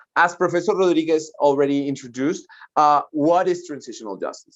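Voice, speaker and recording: Speaking with a Spanish accent, a man uses ordinary pitch variation. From Colombia. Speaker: lawyer and human rights advisor. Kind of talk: lecture. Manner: fast.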